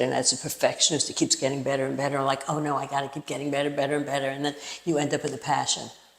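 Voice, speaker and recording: Against noticeable background noise, a woman with an American accent talks at a very fast pace in a very deep, low voice. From New York. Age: 70s. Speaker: actor and playwright. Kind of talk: interview. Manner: animated.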